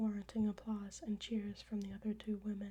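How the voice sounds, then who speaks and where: A soft-spoken voice comes through over noticeable background noise. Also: woman. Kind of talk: ASMR audiobook reading of her own story.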